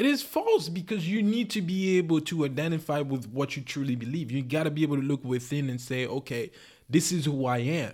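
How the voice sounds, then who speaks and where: A man speaks at a fairly quick pace in a normal speaking voice. His pitch is fairly high, with ordinary variation. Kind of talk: heated debate. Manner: argumentative, sharp, pressing back hard, interrupting.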